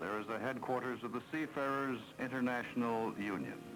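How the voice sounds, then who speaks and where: A man with an American accent speaks at a moderate pace with ordinary pitch variation over noticeable background noise. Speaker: documentary narrator. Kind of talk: documentary narration.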